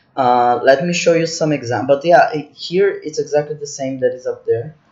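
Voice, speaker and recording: Speaking at a moderate pace, a man has a non-native accent. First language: not English. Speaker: spreadsheet tutorial instructor. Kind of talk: tutorial. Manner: halting, with many restarts.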